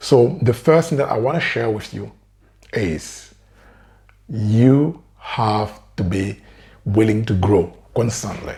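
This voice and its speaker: Very slow and somewhat breathy, this voice has a dark, mellow tone, lively intonation, and long, frequent pauses. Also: man, medium pitch for a man. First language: French. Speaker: career coach. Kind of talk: motivational talk to camera.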